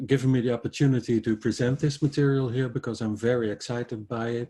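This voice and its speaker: A man talks at a fairly quick pace with a Dutch accent, his medium-pitched voice dark, mellow and somewhat breathy. The background is quiet. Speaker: astrologer. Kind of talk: lecture. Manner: halting.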